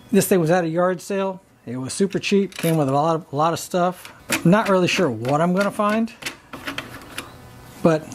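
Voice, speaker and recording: Through noticeable background noise, the speech moves at a moderate pace with long, frequent pauses. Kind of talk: tutorial. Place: workshop.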